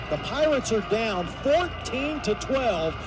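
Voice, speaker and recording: A man with an American accent at an extremely high pitch, intonation lively, music in the background. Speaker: sports play-by-play announcer. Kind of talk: live sports play-by-play call.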